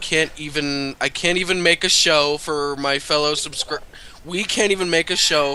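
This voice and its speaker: Fairly high-pitched speech from a man, moderate in speed and fairly even in intonation, against noticeable background noise. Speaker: co-commentator. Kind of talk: casual gaming commentary.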